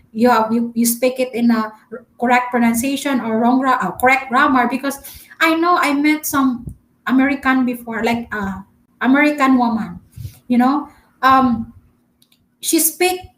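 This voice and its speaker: A woman with a Filipino accent speaks at a high pitch, pausing long and often. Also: ordinary pitch variation, moderate pace. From Philippines. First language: Filipino dialect. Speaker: travel vlogger. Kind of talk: live stream chat. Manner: halting, many fillers; talkative.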